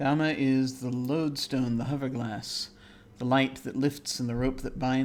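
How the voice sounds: Fairly even intonation in a natural reading voice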